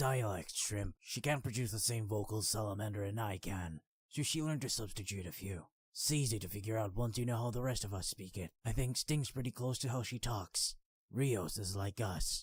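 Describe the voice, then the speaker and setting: Doing a put-on character voice, a man sounds raspy, gruff and rumbling at a medium pitch, on a very clean recording with a silent background. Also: moderate pace. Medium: read story. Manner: gruff, blunt, grumbling.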